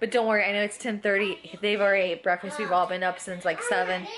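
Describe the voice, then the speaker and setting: Amid noticeable background noise, a woman speaks very fast with fairly even intonation. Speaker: parent vlogger. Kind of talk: casual vlog chat. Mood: cheerful, chatty. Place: home room. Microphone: phone near.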